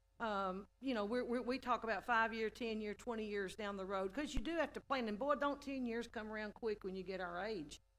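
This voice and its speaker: Talking at a fairly quick pace with hardly any pauses, a woman with an East Texas accent and a fairly high pitch uses ordinary pitch variation. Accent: East Texas Southern US. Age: 60s. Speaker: city council member. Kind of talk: council meeting remarks. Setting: city council meeting chamber. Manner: halting, many repeated words.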